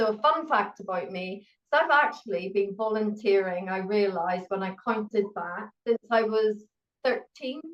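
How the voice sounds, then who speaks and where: Speaking in a Northern Irish accent, a woman talks at a moderate pace with lively intonation. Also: medium pitch for a woman. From Northern Ireland. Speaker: pharmacist and university educator. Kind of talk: interview.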